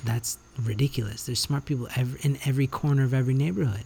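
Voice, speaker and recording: This man talks at a very fast pace, his medium-pitched voice somewhat breathy. His tone is dark and mellow, with ordinary pitch variation. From Canada. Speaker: podcast host. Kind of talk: solo monologue. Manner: animated.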